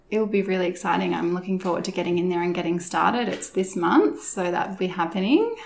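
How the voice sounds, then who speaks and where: A woman with an Australian accent at a medium pitch, very fast with hardly any pauses and fairly even intonation, over noticeable background noise. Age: 30s. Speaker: lash and brow technician. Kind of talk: interview.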